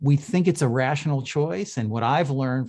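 Using a plain, everyday voice, a man speaks at a medium pitch. His pace is fairly quick and his intonation lively. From Canada (Toronto). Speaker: behavioral finance researcher. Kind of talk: interview conversation. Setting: video call.

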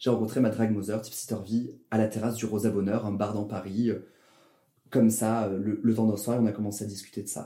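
A man with a fairly low, dark, mellow voice speaks in a flat monotone. He moves at a fairly quick pace but leaves long, frequent pauses. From southern France, Toulouse. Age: 20s. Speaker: drag performer and engineer. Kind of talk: casual interview.

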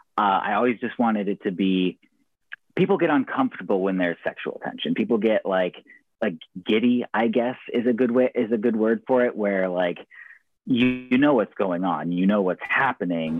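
A man with a West Coast accent speaks at a moderate pace and a medium pitch, with ordinary pitch variation. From US, rural Oregon. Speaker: professional wrestler and poet. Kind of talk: casual interview.

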